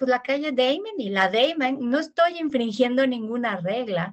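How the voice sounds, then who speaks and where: A woman speaks at a fairly slow pace with very wide pitch swings. The background is quiet. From Mexico. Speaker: linguist and Spanish teacher; Spanish teacher. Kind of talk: interview. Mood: friendly, engaged. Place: office. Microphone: earbuds.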